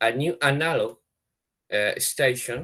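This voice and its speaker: A man with a Spanish accent talks at a very slow pace. His pitch is medium, with ordinary pitch variation. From Chile. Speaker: space researcher presenting a project. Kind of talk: webinar presentation. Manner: halting, many hesitations and restarts.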